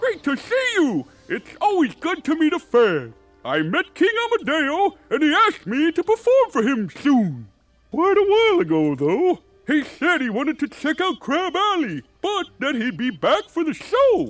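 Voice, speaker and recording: A put-on character voice moves at a moderate pace while faint music plays in the background. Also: man. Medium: machinima.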